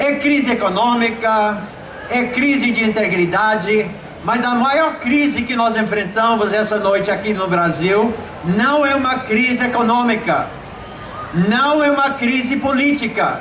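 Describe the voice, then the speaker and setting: An animated man with an American accent and an extremely high pitch, ordinary pitch variation and very even loudness, with noticeable background noise and audible room echo. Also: fairly slow pace. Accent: foreign-sounding, like an American gringo. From Brazil, Belém do Pará. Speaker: preacher. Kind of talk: sermon. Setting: outdoor evangelistic event with audience.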